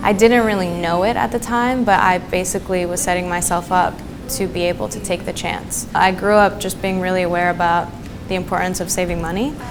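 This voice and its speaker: A woman with an American accent speaks at a medium pitch and a fairly quick pace, her pitch varying in an ordinary way, with music in the background and audible room echo. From New Jersey and Greece. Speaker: singer-songwriter. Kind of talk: interview monologue.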